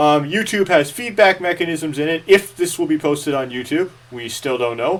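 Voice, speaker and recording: This man's pitch sits fairly high. His intonation is lively. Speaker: lecturer. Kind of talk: lecture. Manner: fast.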